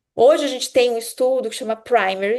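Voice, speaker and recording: Against a quiet background, a woman speaks at a moderate pace in a plain, everyday voice with ordinary pitch variation. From Brazil, Minas Gerais (Juiz de Fora). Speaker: urologist giving a medical lecture. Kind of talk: lecture.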